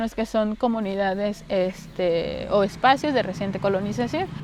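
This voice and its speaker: Keeping a medium speed, a woman talks at a fairly high pitch that varies in a normal way. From Mexico, Campeche (Calakmul). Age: 30s. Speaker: interviewee, farmer's daughter. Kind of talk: documentary interview. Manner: halting, with fillers.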